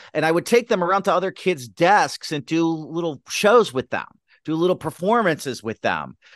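A man with an American accent speaks at a fairly quick pace and a high pitch for a man, in a dry, close recording with no echo and a quiet background. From US Midwest, Detroit, Michigan. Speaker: sketch comedy writer and teacher. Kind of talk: casual interview chat.

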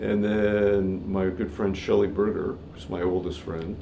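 Audible room echo surrounds a man's very deep, low voice. He speaks at a fairly slow pace. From Canada, Toronto. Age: 60s. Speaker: jazz guitarist. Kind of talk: casual chat.

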